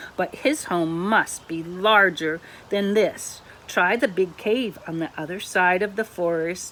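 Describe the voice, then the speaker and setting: At a fairly slow pace, a female-sounding voice does a put-on character voice at a medium pitch. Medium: read story.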